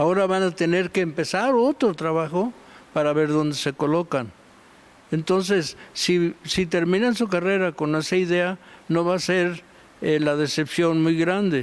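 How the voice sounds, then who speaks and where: Speaking fairly slowly, a man has a high-pitched voice. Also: ordinary pitch variation, very even loudness. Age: 80s+. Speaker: art history professor. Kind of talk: TV interview.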